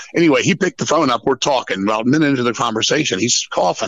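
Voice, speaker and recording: Talking at a very fast pace, a man with an American accent uses very wide pitch swings and vocal fry. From Washington DC area, US. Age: 50s. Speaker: metal musician. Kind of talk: casual chat. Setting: phone call. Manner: animated.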